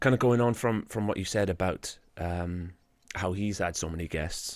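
A man speaks with a Welsh accent and fairly even intonation. The recording is very clean, with a silent background. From Wales. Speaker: podcast host. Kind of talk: interview. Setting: pub basement studio.

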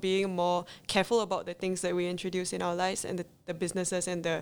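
Delivered at a very fast pace in a flat monotone, the speech sits on a very clean recording with a silent background. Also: woman. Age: 20s. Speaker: small business owner, zero waste advocate. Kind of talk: interview.

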